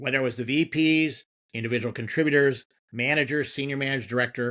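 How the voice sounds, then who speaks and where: A man's bright, sharp voice at a very fast pace with fairly even intonation, over a quiet background. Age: 60s. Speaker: marketing executive. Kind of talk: podcast interview.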